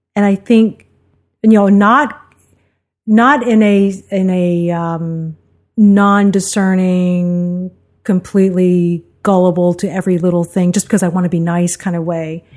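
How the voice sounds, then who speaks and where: With an American accent, a woman of medium pitch speaks at a fairly slow pace and fairly even intonation. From New York City (Queens), after early childhood in Mississippi. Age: 50s. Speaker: host's wife, guest. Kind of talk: casual conversation. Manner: reflective, hesitant.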